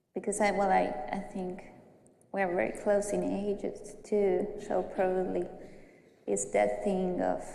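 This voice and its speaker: Audible room echo surrounds a woman speaking at a fairly slow pace with an Argentine accent. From Argentina, Buenos Aires. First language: Spanish. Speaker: graduate counseling student. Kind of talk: group counseling class role-play. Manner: halting.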